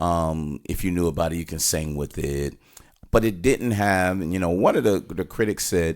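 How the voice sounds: This man has a low pitch. His pitch varies in an ordinary way.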